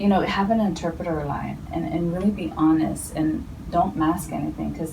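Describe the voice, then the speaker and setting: A woman with a Spanish accent, amid noticeable background noise and audible room echo. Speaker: healthcare professional. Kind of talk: interview. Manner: hesitant, many fillers.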